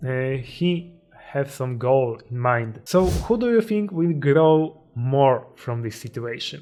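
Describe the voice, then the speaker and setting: A man speaks very slowly in a Polish accent, his pitch fairly high and his intonation lively. Music plays in the background. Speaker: self-improvement YouTuber. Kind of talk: motivational talk. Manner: halting.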